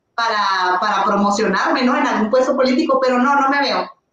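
Her voice high, a woman talks at a fairly quick pace. Her pitch variation is ordinary and her loudness very even. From northern Mexico, Ciudad Juárez. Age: 30s. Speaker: primary school teacher and content creator. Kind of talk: casual chat. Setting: live stream.

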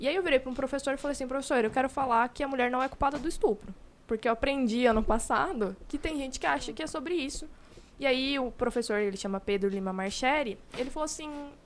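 Very fast speech from a woman, high in pitch, with ordinary pitch variation. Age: 20s. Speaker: law master's student. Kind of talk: casual chat.

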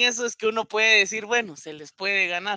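A man speaks in a raised, projected voice with a Guatemalan accent. His tone comes across bright and sharp. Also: dry, close sound with no echo. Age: 20s. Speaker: NFL fan panelist. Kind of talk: casual panel discussion.

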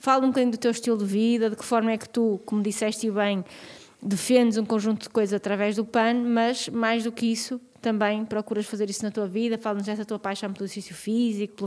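Delivery is quick, though only fairly so. Intonation stays monotone and flat. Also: woman. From northern Portugal, Vila Real. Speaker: podcast co-host. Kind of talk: casual interview chat.

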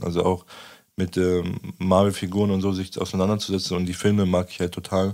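The background is silent on this very clean recording. Delivery stays monotone and flat. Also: man. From southern Lower Saxony, Germany. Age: 20s. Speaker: human rights activist. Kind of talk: casual chat.

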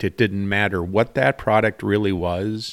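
This man has an Upper Midwest accent. His pitch is fairly low and his intonation fairly even. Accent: Upper Midwest (Minnesota). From Minnesota, St. Cloud area. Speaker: small business owner. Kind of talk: casual interview.

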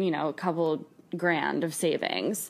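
Speaking at a fairly slow pace, a woman with a fairly low-pitched voice shows vocal fry and ordinary pitch variation. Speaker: friend of host. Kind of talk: casual chat.

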